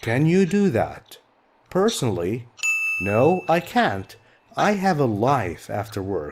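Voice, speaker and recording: A man with an Arabic accent at a very slow pace. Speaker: English teacher. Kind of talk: lecture. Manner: slow, clear explanatory.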